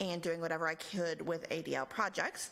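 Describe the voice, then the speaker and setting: A woman with an American accent, fairly quick pace and vocal fry. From Texas, El Paso. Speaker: nonprofit regional director. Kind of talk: lecture.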